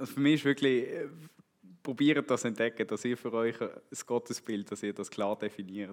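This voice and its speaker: The speaker has a Swiss accent. Pitch varies in an ordinary way. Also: man. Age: 30s. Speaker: church member, road construction foreman. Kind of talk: testimony.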